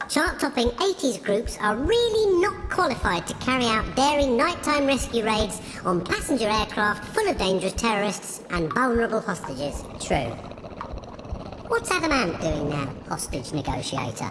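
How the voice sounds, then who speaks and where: Over loud background noise, a woman uses a put-on character voice at a fairly high pitch and a moderate pace. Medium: comedy sketch. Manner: matter-of-fact.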